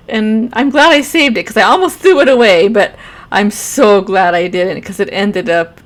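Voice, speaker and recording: The speaker has a normal speaking voice. The intonation is lively. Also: woman. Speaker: gamer and artist streamer. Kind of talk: voiceover narration of painting.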